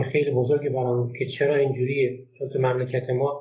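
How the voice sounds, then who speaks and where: A man at a medium pitch speaks at a moderate pace. He has an unremarkable speaking voice. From Golestan province, Iran (Turkmen Sahra area). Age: 30s. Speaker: book translator. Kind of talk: casual interview.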